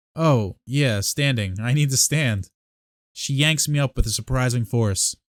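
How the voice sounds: Set against a quiet background, a natural reading voice carries ordinary pitch variation.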